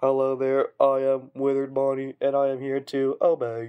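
Putting on a character voice, a man speaks at a moderate pace with a medium pitch. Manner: dumb, goofy, obedient.

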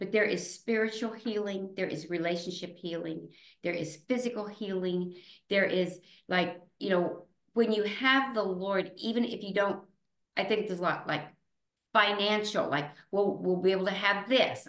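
A woman speaks at a moderate pace with ordinary pitch variation, her voice carrying an audible room echo over a quiet background. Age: 70s. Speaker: retired teacher. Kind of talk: interview answer. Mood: earnest, reflective. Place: home room. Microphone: video call.

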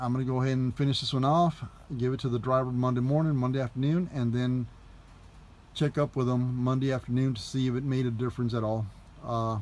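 Delivered at a very fast pace, the speech keeps a fairly even intonation and very even loudness. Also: man. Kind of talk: casual tutorial vlog. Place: bus. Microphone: phone near.

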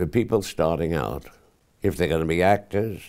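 Against a quiet background, a man with a dark, mellow tone and vocal fry moves through very wide pitch swings. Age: 80s+. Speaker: actor. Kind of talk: interview answer. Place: home room. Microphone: lapel.

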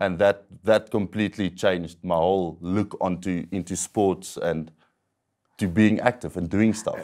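A man speaks at a fairly low pitch with fairly even intonation, in an ordinary speaking voice. The background is quiet. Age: 20s. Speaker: wheelchair athlete with paraplegia. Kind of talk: interview testimony. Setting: studio. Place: studio. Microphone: lapel.

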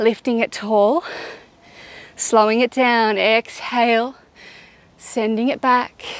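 Speaking very slowly, a woman keeps a monotone, flat intonation in a dry sound with no echo. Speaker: yoga instructor. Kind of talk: guided workout instruction. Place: tent.

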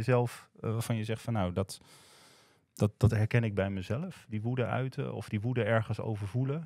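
A man speaks at a fairly quick pace with lively intonation. The sound is dry with no echo, over a quiet background. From Groningen, Netherlands; Netherlands. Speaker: podcast host. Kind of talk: casual chat. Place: studio. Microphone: studio mic.

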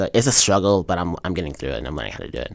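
A man with an American accent speaks in a very deep, low pitch with vocal fry, captured in a very clean recording with a silent background. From US South, Charlotte, North Carolina. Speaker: student journalist. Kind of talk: personal profile interview.

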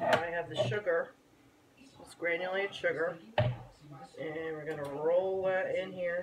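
Rather unhurried talk broken by long, frequent pauses, with background noise clearly audible. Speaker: home baker. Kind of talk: casual cooking tutorial to camera.

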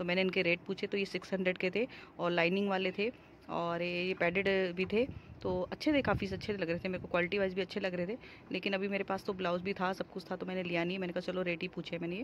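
A woman talks at a fast pace with few pauses. Her fairly low pitch shows little movement.

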